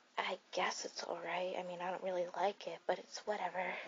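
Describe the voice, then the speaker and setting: The speech moves at a fairly slow pace over light background noise. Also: woman. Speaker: voice actor playing best friend. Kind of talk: ASMR roleplay addressed to a listener as a worried friend. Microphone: studio mic.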